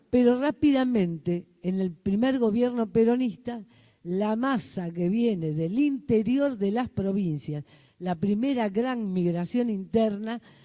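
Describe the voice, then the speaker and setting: A woman's fairly high-pitched voice with a dark, mellow tone, lively intonation and a very slow pace. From Argentina, Buenos Aires. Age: 70s. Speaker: community organizer. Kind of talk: conference talk. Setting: hybrid conference with audience.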